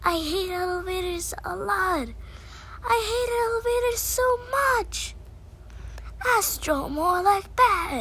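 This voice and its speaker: A put-on character voice in a grumpy tone, fairly slow, with long, frequent pauses and clear background noise. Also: woman, extremely high pitch for a woman. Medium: role play. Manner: grumpy, sulky.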